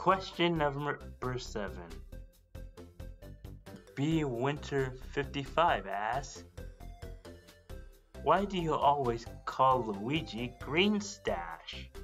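A man's put-on character voice at a very slow pace, broken by long, frequent pauses, with clear music in the background. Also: medium pitch for a man. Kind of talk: comic dub answering a fan question. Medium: dub.

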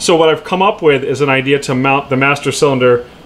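A man talks fairly quickly against noticeable background noise. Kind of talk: tutorial. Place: garage. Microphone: phone near.

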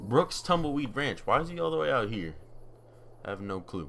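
Noticeable background noise runs behind this recording. A man speaks with lively intonation. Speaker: gamer. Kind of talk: casual gameplay commentary.

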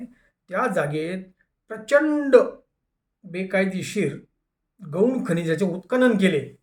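With an animated tone, a man speaks at a high pitch, his voice making very wide pitch swings. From Dhule, Maharashtra. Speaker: anti-corruption activist and YouTuber. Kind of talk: monologue commentary.

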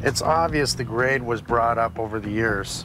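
A man's voice with ordinary pitch variation, dry and echo-free, over clear background music. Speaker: contractor. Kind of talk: commentary. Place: street.

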